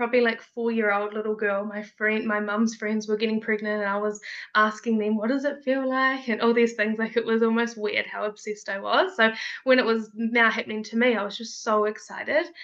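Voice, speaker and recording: Here is a woman with a fairly high pitch and fairly even intonation. It is a plain, everyday voice. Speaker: mother sharing birth story. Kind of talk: casual interview, personal storytelling.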